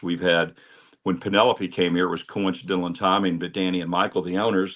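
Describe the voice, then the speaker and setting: A man speaks in a very deep, low voice with a flat, monotone delivery. His pace is fairly quick. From Kentucky, Louisville. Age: 60s. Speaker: bourbon reviewer and club founder. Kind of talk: interview.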